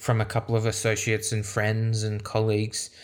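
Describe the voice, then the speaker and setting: A man with an Australian accent talks at a fairly quick pace and medium pitch on a very clean recording with a silent background. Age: 20s. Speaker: podcast host. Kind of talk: solo podcast monologue.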